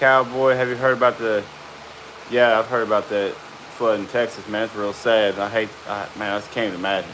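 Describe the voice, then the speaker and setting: The intonation is monotone and flat, at a fairly quick pace. Noticeable background noise sits behind the voice. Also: man, medium pitch for a man. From central Arkansas. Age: 30s. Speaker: hide tanner. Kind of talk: live stream chat. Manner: casual.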